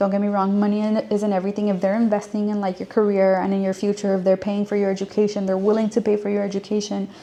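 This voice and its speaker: A woman with a Spanish accent speaks very fast with hardly any pauses, her medium-pitched voice dark and mellow in tone and her intonation monotone and flat. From US, child of Mexican and Guatemalan immigrants. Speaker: career advice vlogger. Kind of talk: casual advice monologue. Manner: casual, many fillers and repetitions.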